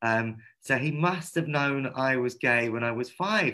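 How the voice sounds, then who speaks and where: With a London accent, a man talks in a bright, sharp tone with ordinary pitch variation. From London, England. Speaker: activist and artist. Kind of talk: online panel discussion. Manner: fast.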